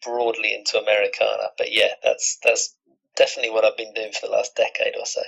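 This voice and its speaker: With a British accent, this voice comes through clearly. Delivery runs fairly quick. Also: man. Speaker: musician. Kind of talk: interview.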